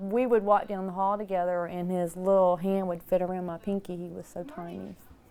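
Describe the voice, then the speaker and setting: Her voice has a dark, mellow tone at a medium pitch. The woman speaks at a moderate pace with monotone, flat intonation. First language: American Sign Language. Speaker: sign language interpreter and school aide. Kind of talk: interview testimony.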